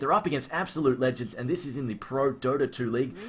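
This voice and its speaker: A very fast pace in an Australian accent. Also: man. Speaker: esports caster. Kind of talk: live commentary. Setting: live stream.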